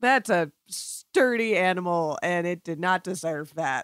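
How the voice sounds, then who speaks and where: A woman speaks at a very slow pace with medium pitch and lively intonation. The recording is very clean, with a silent background and a dry, close sound with no echo. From Florida. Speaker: podcast producer. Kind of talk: casual chat.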